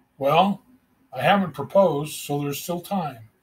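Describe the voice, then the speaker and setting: A man's raspy, put-on character voice, fairly high in pitch, at a moderate pace. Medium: read story.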